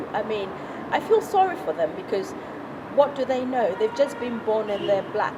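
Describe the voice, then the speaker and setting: A woman with an African accent talks at a moderate pace and a fairly high pitch. Her pitch swings very widely, and there is noticeable background noise. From Ghana. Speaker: chartered accountant. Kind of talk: interview.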